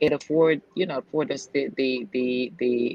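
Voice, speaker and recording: A woman with a slight Jamaican accent speaks at a moderate pace in a very deep, low voice over noticeable background noise. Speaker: real estate agent and investor. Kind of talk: casual interview chat. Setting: video call from a nail salon.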